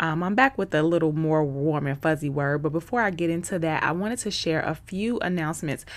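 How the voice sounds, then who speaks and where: Someone with an American accent speaks at a moderate pace in an animated tone. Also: woman. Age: 30s. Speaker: faith podcast host. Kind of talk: inspirational solo podcast talk.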